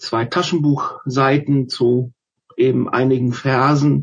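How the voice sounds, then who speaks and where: A man's somewhat breathy voice at medium pitch, with monotone, flat intonation. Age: 50s. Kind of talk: interview about faith. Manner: halting, frequent fillers.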